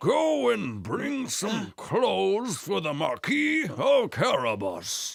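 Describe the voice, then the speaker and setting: In a cartoonish character voice, a man speaks at a very slow pace and a high pitch, with hardly any pauses. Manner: warm, gracious.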